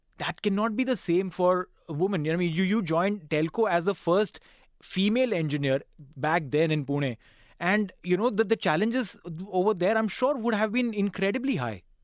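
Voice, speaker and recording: A man with a Gujarati accent talks at a fairly quick pace, his pitch high and his intonation lively. The background is quiet. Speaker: radio host. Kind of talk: interview.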